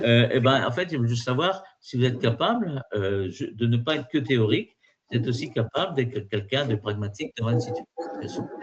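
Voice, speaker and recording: With lively intonation, the voice moves fairly quickly. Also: man, medium pitch for a man. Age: 60s. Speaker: exam prep trainer. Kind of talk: webinar lecture. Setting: online virtual class. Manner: halting, many fillers and repetitions.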